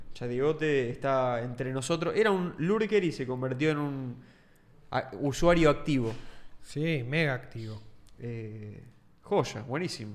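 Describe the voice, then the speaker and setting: The speaker has a Rioplatense accent and lively intonation. The pace is fairly slow, with long, frequent pauses. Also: man, medium pitch for a man. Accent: Argentine Rioplatense Spanish. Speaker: podcast co-host. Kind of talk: casual chat.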